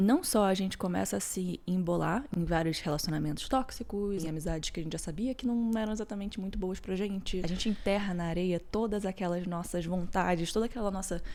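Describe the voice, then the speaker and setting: A woman with a dark, mellow tone speaks at a medium pitch and a fairly quick pace. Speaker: podcast host. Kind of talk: personal reflective podcast talk.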